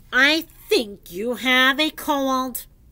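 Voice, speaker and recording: In a put-on character voice, a woman projects a raised, high-pitched delivery. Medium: read story. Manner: calm, matter-of-fact.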